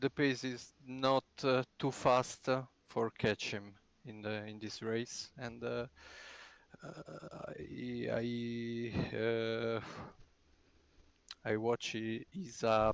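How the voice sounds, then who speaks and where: With a non-native accent, the speaker goes very slowly, pausing long and often, with fairly even intonation and big swings in loudness. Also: man, medium pitch for a man. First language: not English. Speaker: sim racing driver. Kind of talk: post-race interview. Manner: halting, many hesitations.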